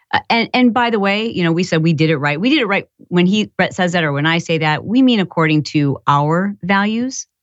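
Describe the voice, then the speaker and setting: With an American accent, a woman in an unremarkable speaking voice talks fairly quickly at a fairly low pitch, her intonation lively, with hardly any pauses and very even loudness. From Michigan. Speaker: entrepreneur and podcaster. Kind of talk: casual interview.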